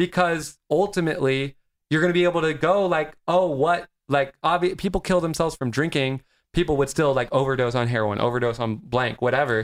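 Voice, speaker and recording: A man with an ordinary speaking voice, fairly high in pitch, at a fairly quick pace. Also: ordinary pitch variation. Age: 20s. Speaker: actor and comedian. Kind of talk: casual chat.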